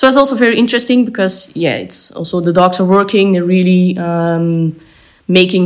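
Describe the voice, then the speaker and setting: With a Flemish accent, a woman speaks at a moderate pace in a fairly low pitch. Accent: Flemish Belgian English. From Belgium. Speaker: dog trainer. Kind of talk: interview. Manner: hesitant.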